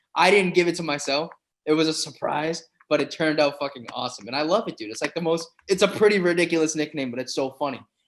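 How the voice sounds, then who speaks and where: A man with a Boston accent races along at a very fast pace in a fairly high pitch. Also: ordinary pitch variation. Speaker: professional MMA fighter. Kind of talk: casual podcast interview. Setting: recorded in a campus room. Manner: animated.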